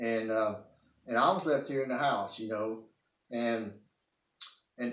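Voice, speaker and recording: In an East Texas accent, a man speaks at medium pitch with audible room echo around him. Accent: East Texas Southern US. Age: 60s. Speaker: video blogger. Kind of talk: personal testimony monologue. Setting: at home, living room. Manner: halting, many false starts.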